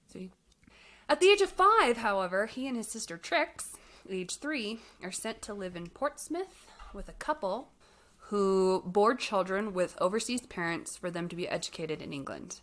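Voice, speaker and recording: With an American accent and an unremarkable speaking voice, a woman talks at a moderate pace and medium pitch, her intonation lively and her loudness swinging widely. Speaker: podcast co-host. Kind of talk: casual chat.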